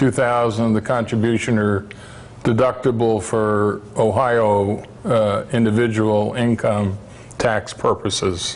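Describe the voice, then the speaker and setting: Over noticeable background noise, a man at medium pitch speaks very slowly in a flat monotone, his loudness very even. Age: 60s. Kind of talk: presentation to parents. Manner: halting, many fillers.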